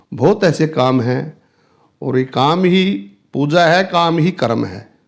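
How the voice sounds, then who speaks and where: Pitched fairly high, this male speaker's voice rises and falls in a lively way. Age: 60s. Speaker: businessman. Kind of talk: interview. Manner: halting.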